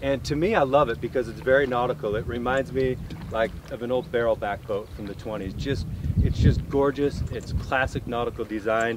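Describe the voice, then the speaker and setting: Moderately paced speech with ordinary pitch variation, a dry sound with no echo, and noticeable background noise. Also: man. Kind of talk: product walkthrough conversation. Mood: enthusiastic, admiring. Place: waterside.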